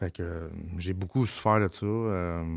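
The speaker has a Quebec accent and a monotone, flat intonation. The background is quiet. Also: man. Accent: Québécois French. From Quebec, Laurentides (Mont-Laurier area). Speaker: former inmate sharing life story; podcast guest. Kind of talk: casual interview, personal testimony. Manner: halting, repetitive. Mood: reflective, candid storytelling. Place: studio. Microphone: studio mic.

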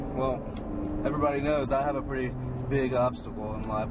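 A man talking at a very fast pace over loud background noise. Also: dry sound with no echo. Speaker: family vlogger. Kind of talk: casual vlog chat. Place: car. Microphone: phone near.

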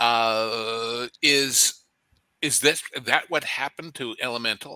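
The tone is bright and sharp, set in a very clean recording against a silent background. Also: man. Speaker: entertainment commentator. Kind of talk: panel discussion.

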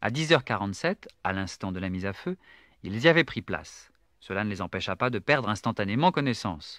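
In a very clean recording with a silent background and a dry, close sound without echo, a man speaks at medium pitch and a moderate pace, in a dramatic tone with lively intonation. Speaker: audiobook narrator. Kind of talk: literary audiobook reading, scripted narration of a novel. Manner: measured, dramatic storyteller pacing with suspense.

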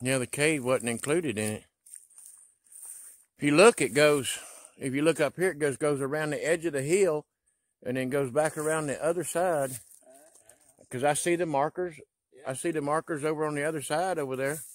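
A man at a moderate pace with ordinary pitch variation and long, frequent pauses, in a dry sound with no echo over a quiet background. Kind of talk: casual walking commentary. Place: forest. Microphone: phone near.

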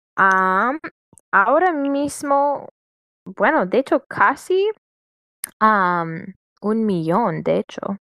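Dry and close with no echo, a woman speaks at a medium pitch with an English accent, lively intonation and a bright, sharp tone. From US, Washington state. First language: English (speaking Spanish). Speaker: customer service worker, Spanish learner. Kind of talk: casual conversation practice. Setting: internet call. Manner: halting.

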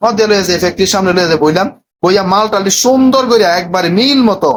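Keeping his loudness very even, a man with a high pitch speaks with ordinary pitch variation. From Bangladesh, Cumilla. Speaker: vlogger and motivational YouTuber. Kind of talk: travel vlog narration. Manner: casual, chatty.

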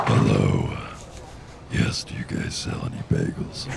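Fairly slow speech from a man in a put-on character voice, over clear background noise. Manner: feigned, serious.

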